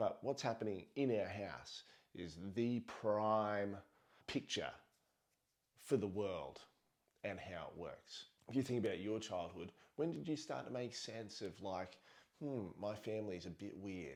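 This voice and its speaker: Slow-going and fairly low-pitched, a man speaks with an Australian accent. Long, frequent pauses fill his speech at a fairly slow pace. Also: lively intonation. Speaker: parenting vlogger. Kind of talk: casual monologue.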